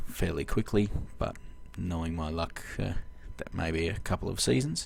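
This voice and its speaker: A man speaks with an Australian accent. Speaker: video game let's-play host. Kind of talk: gameplay commentary. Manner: halting, many fillers.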